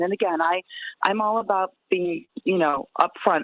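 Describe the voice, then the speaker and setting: In a normal speaking voice, a woman with an American accent talks at a medium pitch with lively intonation. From Chicago, north side. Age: 60s. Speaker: spokesperson. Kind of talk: interview.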